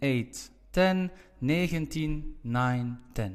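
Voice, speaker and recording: With a Flemish accent, a man speaks using lively intonation. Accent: Flemish Dutch. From Belgium (Flanders). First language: Dutch (Flemish). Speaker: language teacher. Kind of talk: tutorial.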